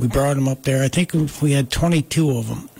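A man with an American accent speaks at a moderate pace in a fairly high, monotone, flat voice. Noticeable background noise sits behind him. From US Northeast, Catskills, Delaware County New York. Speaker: wood artist. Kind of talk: casual chat.

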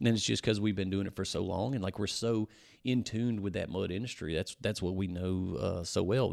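Fairly low-pitched man with a Louisiana accent and ordinary pitch variation, in a very clean recording with a silent background. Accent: Louisiana Southern US. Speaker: powersports shop owner and off-road builder. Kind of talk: casual chat. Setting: in a powersports shop.

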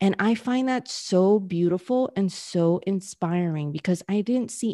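A woman's medium-pitched voice with an American accent, a dark, mellow tone, ordinary pitch variation and a moderate pace. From New York City. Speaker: business coach. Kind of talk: interview.

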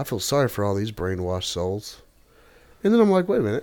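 With a Tennessee accent, a man talks at a fairly quick pace. His pitch swings very widely. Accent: Southern US (Tennessee). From US South. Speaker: podcast guest. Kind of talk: casual chat.

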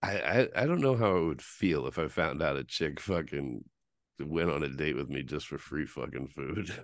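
Here a man talks at a very deep, low pitch with an animated tone, vocal fry and lively intonation. His pace is moderate and the background is quiet. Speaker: podcast host. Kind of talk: casual banter, crude humor. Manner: animated, joking.

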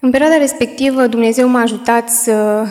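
Over noticeable background noise, a woman talks at a moderate pace with a fairly high pitch and fairly even intonation. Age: 20s. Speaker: young widow giving church testimony. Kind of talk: testimony. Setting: church. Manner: halting.

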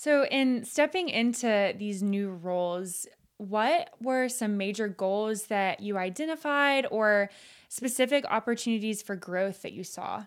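In a plain, everyday voice with an American accent, the speaker talks at a fairly slow pace with lively intonation. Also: woman, fairly high pitch for a woman. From coastal Georgia, US South. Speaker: podcast host. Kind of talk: interview. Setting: video call.

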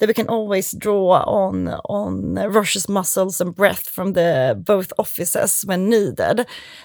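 A woman with a Swedish accent at a fairly slow pace, in a very clean recording with a silent background. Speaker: lawyer. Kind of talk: casual chat.

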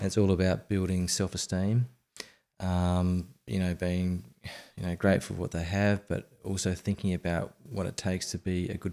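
A man's very deep, low voice with a dark, mellow tone and an Australian accent, moderate in pace with ordinary pitch variation, on a very clean recording with a silent background. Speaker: app founder, former financial planner. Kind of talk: podcast interview.

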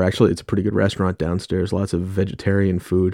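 A man with an American accent and a dark, mellow, fairly low voice, against a quiet background. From New York. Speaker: podcast host. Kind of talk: solo music podcast talk.

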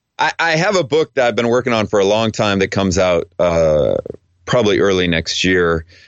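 Here is a plain, everyday voice: a man with a fairly low pitch speaks at a fairly quick pace. His intonation is lively and his loudness very even. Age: 40s. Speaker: theology professor and author. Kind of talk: interview.

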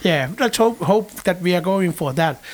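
This man's voice sits high for a man and moves with lively intonation. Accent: Finnish. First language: Finnish. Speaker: podcast host. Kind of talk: announcements; interview.

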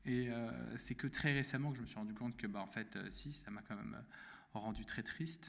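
A man talks at a fairly quick pace. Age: 20s. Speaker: podcast guest sharing personal story. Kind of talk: testimony. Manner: halting, many fillers.

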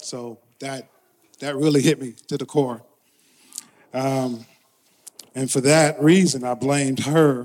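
A man with an American accent speaks at a very slow pace, with long, frequent pauses and big swings in loudness. His pitch is medium and his intonation fairly even. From Brooklyn, New York. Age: 50s. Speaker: church member. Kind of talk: testimony. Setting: church.

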